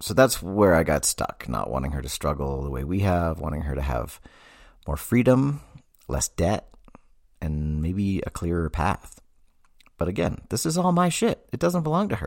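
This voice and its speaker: Speaking with an American accent, a man uses a very deep, low pitch that swings very widely. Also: moderate pace. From Massachusetts. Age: 40s. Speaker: therapist podcast host. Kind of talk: casual monologue.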